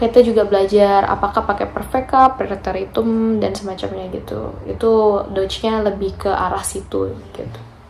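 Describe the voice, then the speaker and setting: A soft-spoken woman at a moderate pace, with noticeable background noise and audible room echo. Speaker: vocational trainee vlogger. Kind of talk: casual vlog talk.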